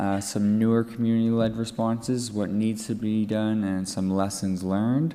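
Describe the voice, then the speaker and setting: Delivered at a moderate pace in an East Coast Canadian accent, the voice stays monotone and flat, with audible room echo. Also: man. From Atlantic Canada. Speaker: drug user activist. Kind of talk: conference presentation. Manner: halting, many fillers and restarts.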